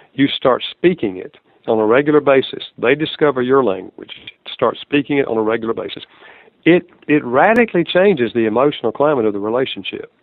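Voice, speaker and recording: Speaking at a fairly quick pace with lively intonation, a man uses a fairly high pitch and a Southern US accent. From US South. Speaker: author and marriage counselor. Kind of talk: interview.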